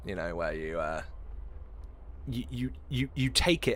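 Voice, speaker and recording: Moving at a fairly slow pace, a man speaks with vocal fry and very wide pitch swings. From southeast England (Essex), northern father. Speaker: video game streamer. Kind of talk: casual live-stream chat. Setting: live stream from a hot room. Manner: animated.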